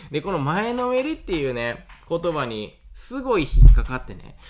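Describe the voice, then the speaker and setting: A man speaks with a Kansai accent. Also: very clean recording, silent background. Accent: Kansai Japanese. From Awaji Island, Hyogo. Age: 30s. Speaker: farmer and podcaster. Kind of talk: solo podcast monologue. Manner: casual with many fillers.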